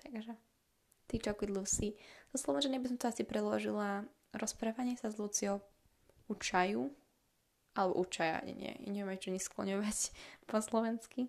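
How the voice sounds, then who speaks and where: A woman's medium-pitched voice, with ordinary pitch variation and long, frequent pauses. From Slovakia. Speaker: podcaster. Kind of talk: casual monologue. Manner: fast.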